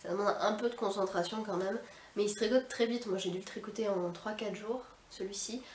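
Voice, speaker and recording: A woman at a fairly quick pace with fairly even intonation, amid noticeable background noise and audible room echo. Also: medium pitch for a woman. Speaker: knitting and sewing podcaster. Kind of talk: casual hobby podcast talk. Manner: hesitant, many filler sounds.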